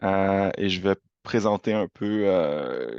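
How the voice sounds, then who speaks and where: Over a quiet background, a man with a Quebec accent speaks at a fairly low pitch. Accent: Quebec French accent, noticeable. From Quebec, Montreal. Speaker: university representative. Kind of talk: presentation. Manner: hesitant, many fillers.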